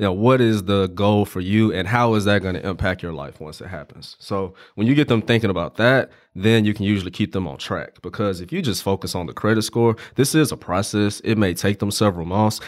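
Moving at a fairly quick pace, a man talks in a plain, everyday voice at a fairly low pitch. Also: ordinary pitch variation, very clean recording, silent background. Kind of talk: casual podcast interview.

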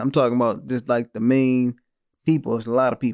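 A man speaks at a very fast pace. The recording is very clean, with a silent background. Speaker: podcast co-host reviewing films. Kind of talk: casual chat. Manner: casual, stumbling over words.

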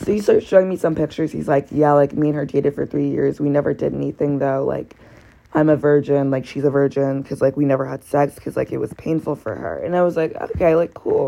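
Loud and animated, a woman speaks at a very fast pace. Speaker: podcast host, college student. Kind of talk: casual personal storytelling monologue.

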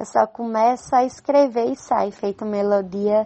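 In a strong northeastern Brazilian accent, a woman talks very slowly at a fairly high pitch with ordinary pitch variation. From Brazil, Northeast (Campina Grande, Paraíba). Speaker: poet and nurse. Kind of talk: interview.

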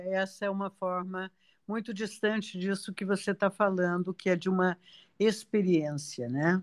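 In a very clean recording with a silent background, a woman speaks at a moderate pace in a normal speaking voice, medium in pitch, with fairly even intonation. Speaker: podcast host. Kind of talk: interview conversation.

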